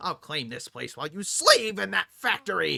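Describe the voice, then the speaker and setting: A man uses a put-on character voice at a fairly high pitch, speaking at a moderate pace. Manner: boastful, menacing.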